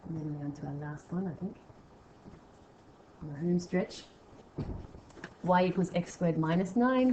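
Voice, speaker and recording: Over noticeable background noise, a woman with an Australian accent and fairly low pitch speaks at a moderate pace with ordinary pitch variation, long, frequent pauses and big swings in loudness. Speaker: maths teacher. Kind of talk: tutorial.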